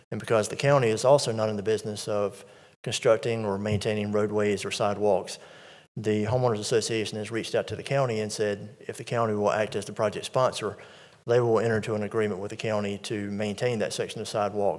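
A man at a very fast pace, fairly low in pitch and monotone, against a quiet background. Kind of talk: formal briefing to a board. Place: hall. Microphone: podium.

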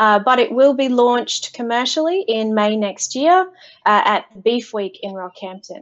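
In an Australian accent, a woman with a high voice and lively intonation speaks fairly slowly against a quiet background. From Australia, central Queensland. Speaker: agtech data and software lead; guest. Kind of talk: interview. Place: home room.

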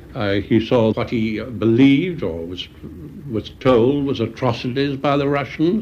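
Over light background noise, a man talks fairly slowly at a medium pitch with lively intonation. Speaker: former intelligence official, interviewee. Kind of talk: recorded interview recollection. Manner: halting, hesitant with fillers. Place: home room.

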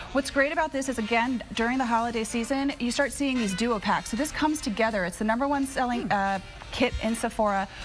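A woman talks at a very fast pace with ordinary pitch variation while clear music plays in the background. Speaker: guest. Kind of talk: TV interview product presentation. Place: studio. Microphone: lapel.

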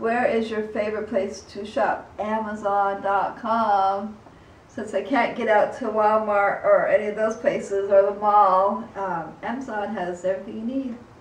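Fairly slow, monotone speech from a woman with flat intonation and audible room echo. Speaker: vlogger. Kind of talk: casual vlog chat. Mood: calm, relaxed. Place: home room.

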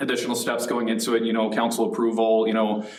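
There is noticeable background noise and audible room echo as a man speaks at a fairly low pitch. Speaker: city communications staff member. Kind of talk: council presentation. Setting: city council meeting. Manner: halting.

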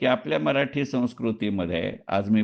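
Here a man speaks in a plain, everyday voice. His intonation is lively. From Dombivli, Maharashtra, India. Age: 60s. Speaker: retired stock market professional and writer. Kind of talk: personal monologue audio recording.

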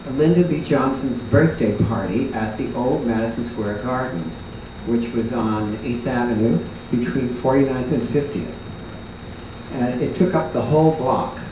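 Over noticeable background noise and audible room echo, a man talks at a fairly slow pace with ordinary pitch variation. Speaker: former dancer on a panel. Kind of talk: reminiscing panel talk. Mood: warm nostalgic storytelling. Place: stage.

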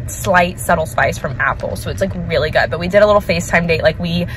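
Against light background noise, a woman's voice comes across as dry, with no echo. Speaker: vlogger. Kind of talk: casual vlog chat. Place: car. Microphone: phone near.

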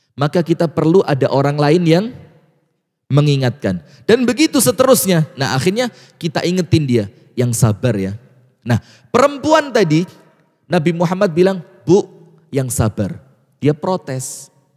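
Against a quiet background, a man talks at a moderate pace with very wide pitch swings and long, frequent pauses. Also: fairly high pitch for a man. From Batu, Malang, East Java. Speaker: Islamic preacher. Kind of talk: religious lecture. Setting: mosque with live audience, broadcast on TV and radio. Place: church. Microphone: handheld.

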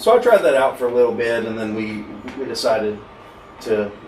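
Over light background noise and audible room echo, a man speaks at a medium pitch and moderate pace with monotone, flat intonation. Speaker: podcast guest. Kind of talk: interview answer. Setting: studio. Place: studio.

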